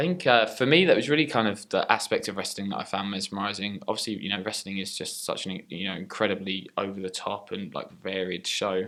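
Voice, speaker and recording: A man's fairly low, bright and sharp voice in a British accent, at a fairly quick pace with hardly any pauses and ordinary pitch variation. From England. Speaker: professional wrestler. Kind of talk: interview. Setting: wrestling training center.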